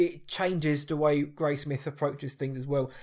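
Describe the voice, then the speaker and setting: In a very clean recording with a silent background, a man talks in a fairly high voice. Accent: British. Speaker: podcast host. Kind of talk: casual chat.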